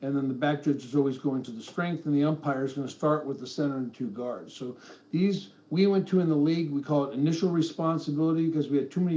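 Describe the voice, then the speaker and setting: A man talks at a fairly quick pace with a fairly high pitch and a dark, mellow tone. His intonation stays fairly even, and the room echo is audible. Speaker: football officiating supervisor. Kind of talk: lecture. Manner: fast.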